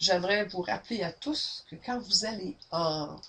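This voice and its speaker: A woman with a Quebec accent talks at a medium pitch, her intonation lively. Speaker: sales trainer. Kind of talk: webinar training. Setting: webinar, camera. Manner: loud; energetic.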